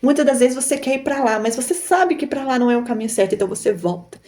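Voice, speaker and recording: Speaking very fast in a Minas Gerais accent, a woman uses lively intonation and a fairly high pitch. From Brazil, Minas Gerais. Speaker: YouTuber, online seller. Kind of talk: motivational talk to camera. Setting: recording to camera. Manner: animated.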